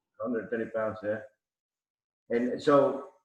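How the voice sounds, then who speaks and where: A man with a Mexican accent, recorded with audible room echo. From Mexico City, Mexico. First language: Spanish. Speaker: arm wrestler. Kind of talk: casual chat.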